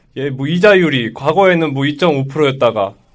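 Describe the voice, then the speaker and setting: A man's fairly high voice comes through at a moderate pace on a very clean recording with dead-silent surroundings. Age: 20s. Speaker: podcast co-host. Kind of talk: casual debate. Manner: animated.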